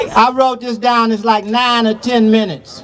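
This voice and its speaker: Crowd noise can be heard in the background. Over it, a man talks. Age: 60s. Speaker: activist. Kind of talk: public speech. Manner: casual.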